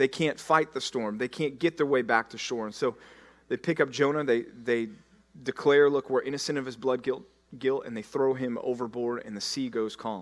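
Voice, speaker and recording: A plain, everyday voice from a man with an American accent, medium pitch, moderate pace, and fairly even intonation. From Texas, Dallas. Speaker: pastor. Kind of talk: sermon.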